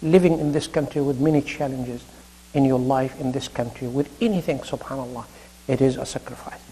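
Speaking with an Arabic accent, a man moves at a fairly quick pace. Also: ordinary pitch variation. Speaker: imam / Islamic preacher; religious lecturer. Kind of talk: sermon. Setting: mosque.

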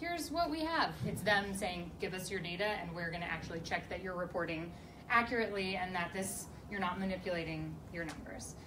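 A woman at a fairly quick pace with ordinary pitch variation, over noticeable background noise. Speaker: panelist. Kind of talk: Q&A panel answer. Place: meeting room. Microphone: camera far.

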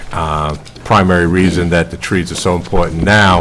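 Over light background noise, a man with a very deep, low voice speaks at a fairly slow pace in monotone, flat intonation. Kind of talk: formal presentation to a board. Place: hall. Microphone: podium.

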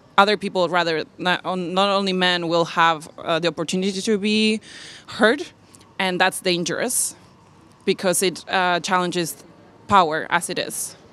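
A woman with a Spanish accent speaks at a medium pitch in a bright, sharp tone. Her intonation is fairly even, and the sound is dry with no echo. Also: moderate pace. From Argentina. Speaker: diversity and inclusion specialist. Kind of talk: panel discussion. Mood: thoughtful, engaged. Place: hall. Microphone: handheld.

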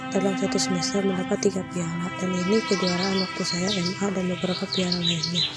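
Clear music plays in the background as a woman speaks. The sound is dry with no echo. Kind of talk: personal complaint narration. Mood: sad, troubled. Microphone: phone near.

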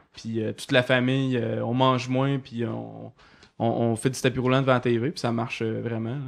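The man's pitch sits in the medium range and his delivery is monotone and flat. He keeps a moderate pace. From Quebec, Côte-Nord. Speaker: cartoonist. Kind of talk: casual chat.

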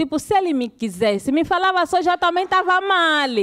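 Using very wide pitch swings, a woman with an Angolan accent talks at a fairly quick pace. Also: quiet background. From Luanda, Angola (Cazenga). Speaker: stand-up comedian. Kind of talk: stand-up comedy. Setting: stage with live audience. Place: stage. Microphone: handheld.

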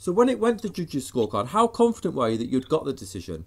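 A man talks at a very fast pace with very wide pitch swings. His voice carries vocal fry. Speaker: combat sports interviewer. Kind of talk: interview. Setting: video call.

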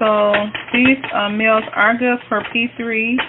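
With noticeable background noise, a woman speaks in an American accent using a monotone, flat intonation. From US North. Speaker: cooking vlogger. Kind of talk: cooking tutorial. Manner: casual, hesitant with many fillers. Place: kitchen. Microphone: phone near.

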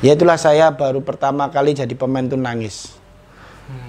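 The speech comes at a fairly quick pace with fairly even intonation. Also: man. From East Java, Indonesia (Tulungagung); East Java. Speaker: former football striker; interviewee. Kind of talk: casual interview. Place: home room. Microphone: lapel.

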